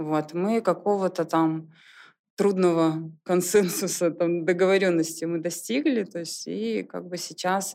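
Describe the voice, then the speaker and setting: The voice has a dark, mellow tone at a fairly slow pace, with ordinary pitch variation and big swings in loudness. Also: woman. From Belarus, Soligorsk. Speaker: clothing brand founder. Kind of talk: casual interview chat.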